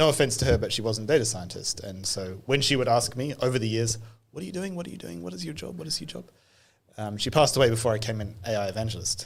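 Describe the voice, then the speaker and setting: A man with a British accent, medium pitch, somewhat breathy, very fast, with lively intonation and big swings in loudness. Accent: British-sounding. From New Zealand. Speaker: AI evangelist, data science leader. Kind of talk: podcast interview.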